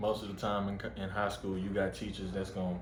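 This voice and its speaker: A man's very deep, low voice at a fairly quick pace, with audible room echo. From Texas, Waco. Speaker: college football player. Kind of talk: casual interview.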